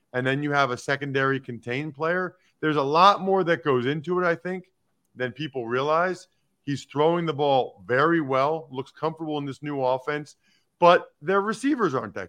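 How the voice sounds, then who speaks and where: A man's bright, sharp tone at a moderate pace, with ordinary pitch variation and a quiet background. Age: 40s. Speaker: football analyst and former NFL lineman. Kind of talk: interview.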